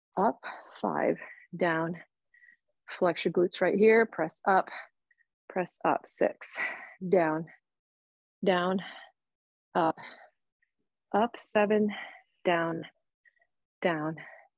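A woman with a fairly low pitch speaks at a very slow pace, with fairly even intonation, very even loudness and long, frequent pauses. The sound is dry with no echo and the background is quiet. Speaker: fitness instructor. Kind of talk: workout instruction. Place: home room.

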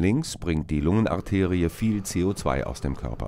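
A man speaks in a very deep, low voice at a fairly slow pace, with vocal fry. His tone is dark and mellow, and his intonation is lively. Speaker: narrator of school biology film. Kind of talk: educational film narration. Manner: formal, measured, didactic; clear, even, explanatory pace.

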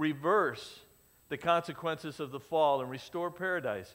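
The voice moves at a moderate pace with ordinary pitch variation. The background stays quiet. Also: man. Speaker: pastor. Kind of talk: sermon. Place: church.

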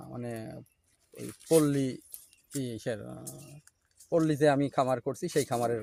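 His intonation stays fairly even. The man's pitch is medium. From Bangladesh, Kushtia district. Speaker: farmer. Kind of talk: interview. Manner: halting.

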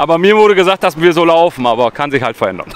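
The speech comes at a fairly quick pace. There is light background noise, and the sound is dry with no echo. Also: man. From western Germany, Münsterland (Kreis Borken, NRW); North Rhine-Westphalia, Germany. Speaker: travel vlogger on a long-distance hike; pilgrim walker vlogger. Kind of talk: casual travel vlog talk to camera; casual vlog chat. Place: street. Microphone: phone near.

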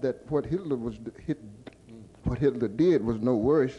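A man with a Southern US accent, medium pitch and ordinary pitch variation. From US South. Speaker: audience member. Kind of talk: audience question. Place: hall. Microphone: podium.

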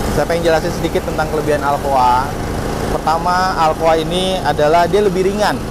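A man's voice, dry with no echo, amid noticeable background noise. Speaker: wheel distributor representative. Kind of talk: product explanation. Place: open country.

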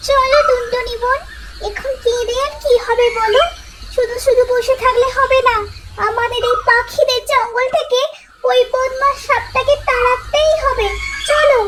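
A woman puts on a cartoonish character voice at an extremely high pitch. Light background noise can be heard. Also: moderate pace. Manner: anxious, emotional.

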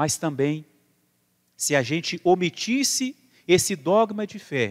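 In a Brazilian accent, the speaker uses a calm tone with very wide pitch swings against a quiet background. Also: man. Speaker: priest. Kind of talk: sermon. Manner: formal, earnest; calm, measured, pastoral. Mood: earnest, serious. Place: church.

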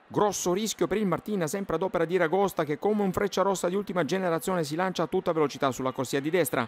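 A very fast, animated, playful man's voice, high in pitch with ordinary pitch variation, in a dry, close sound with no echo. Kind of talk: sports commentary over match highlights, scripted-sounding voiceover. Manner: animated, fast-paced, playful and ironic, with dramatic flourishes and local colour.

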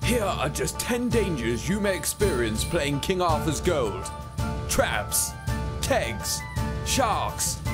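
Music plays in the background as a man speaks at a very slow pace. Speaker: voice-over artist. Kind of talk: humorous video game trailer narration. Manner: tongue-in-cheek, playful.

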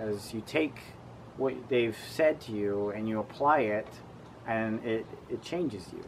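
There is light background noise as a man talks at a fairly slow pace. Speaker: interviewee. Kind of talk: interview answer. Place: garden.

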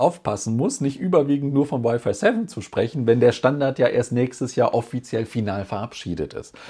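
Somewhat breathy and dark, mellow in tone, a man talks at a fairly quick pace against a quiet background. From Germany. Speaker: tech YouTuber; tech youtuber. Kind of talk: casual vlog report. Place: home room.

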